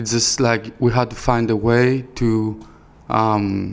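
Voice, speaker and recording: A man at a medium pitch, in a Greek accent, at a very slow pace. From Greece, Thessaloniki. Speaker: rapper and record label founder. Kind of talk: interview.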